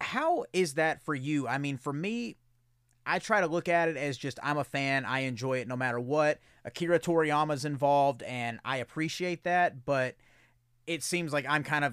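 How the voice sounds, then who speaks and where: Recorded very cleanly over a silent background, a man with an ordinary speaking voice talks at a moderate pace, his pitch fairly high with ordinary variation. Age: 30s. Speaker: podcast host. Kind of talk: casual chat.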